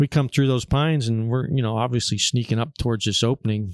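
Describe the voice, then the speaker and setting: A man speaks in a plain, everyday voice at a medium pitch and a fairly quick pace, with ordinary pitch variation, in a very clean, dry, close recording with no echo and a silent background. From Pennsylvania, Erie area. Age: 60s. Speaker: taxidermist and hunter. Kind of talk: casual chat. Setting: hunting camp.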